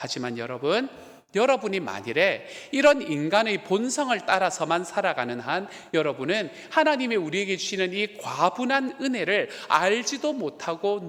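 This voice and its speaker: This man's pitch is high for a man and swings very widely. He has a strong Gyeongsang accent. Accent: thick Gyeongsang dialect. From South Korea, Gyeongsang (Miryang). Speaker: pastor. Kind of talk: sermon.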